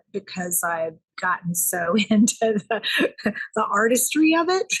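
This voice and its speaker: A woman talks fairly slowly in an ordinary speaking voice. Her pitch variation is ordinary. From US South. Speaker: caterer and restaurant owner. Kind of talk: interview podcast.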